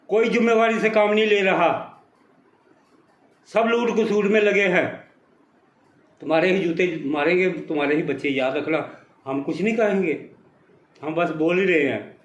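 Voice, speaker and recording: A high-pitched male voice with ordinary pitch variation and long, frequent pauses, amid audible room echo. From Punjab, India. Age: 70s. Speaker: retired army veteran. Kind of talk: angry political rant.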